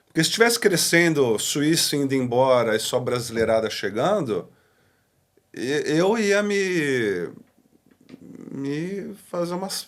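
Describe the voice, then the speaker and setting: A man with a Brazilian accent and fairly high pitch speaks very slowly, with long, frequent pauses and very wide pitch swings. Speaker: pastor. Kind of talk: podcast interview. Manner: casual.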